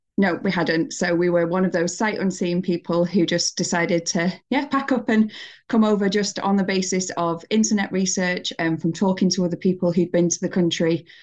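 With a northern English accent, a woman speaks at a moderate pace with hardly any pauses and very even loudness. Her pitch is medium with ordinary variation, against a quiet background. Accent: northern English (Greater Manchester). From northern England, Bury near Manchester. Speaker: emigrant to New Zealand. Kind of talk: casual interview. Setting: video call.

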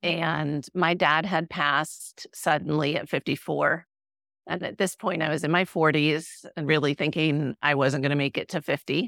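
A woman at a moderate pace with a very deep, low pitch and fairly even intonation, in a very clean recording with a silent background and a dry, close sound with no echo. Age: 50s. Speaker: functional medicine health coach. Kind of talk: interview.

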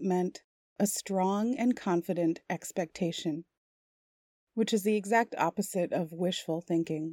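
A woman with an unremarkable speaking voice. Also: dry, close sound with no echo. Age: 40s. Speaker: hypnotherapist. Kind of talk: guided hypnosis. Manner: slow; soft-spoken.

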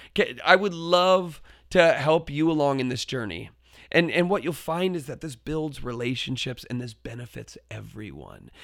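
In a very clean recording with a silent background, a man with a fairly high pitch talks at a moderate pace, his pitch varying in an ordinary way while his loudness swings widely. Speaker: podcast host and teacher educator. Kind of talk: solo podcast monologue. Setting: home basement.

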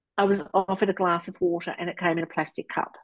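Here a woman with an Australian accent talks at a medium pitch. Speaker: sobriety coach. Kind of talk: interview testimony. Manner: animated.

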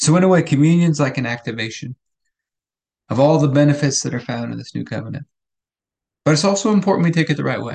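Speaking at a very fast pace yet with long, frequent pauses, a man uses a fairly high, somewhat breathy voice with ordinary pitch variation. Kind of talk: fervent prayer, earnest spoken petition to God; daily devotional meditation. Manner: earnest, heartfelt, steady and pleading.

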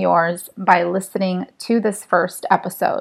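Speaking at a fairly slow pace, a woman uses a soothing, calm tone. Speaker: meditation guide and energy healer. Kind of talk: guided meditation. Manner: slow, soothing, calm and hypnotic, counting down; soft-spoken, gentle, reassuring.

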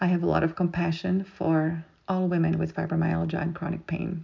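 A woman talks at a fairly quick pace in a fairly low, monotone, flat voice. Vocal fry and a slightly husky edge run through her speech.

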